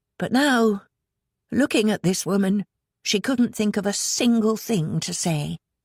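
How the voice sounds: A woman speaks at a moderate pace with lively intonation and a slightly mellow tone, in a very clean recording with a silent background and a dry, close sound with no echo.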